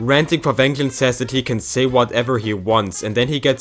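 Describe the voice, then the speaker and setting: A man talks at a medium pitch. Music plays in the background. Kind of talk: commentary video.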